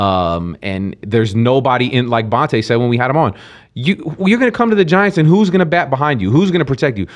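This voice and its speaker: A man with an American accent and medium pitch, very wide pitch swings, a fairly quick pace and a quiet background. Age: 40s. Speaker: podcast co-host. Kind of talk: casual chat.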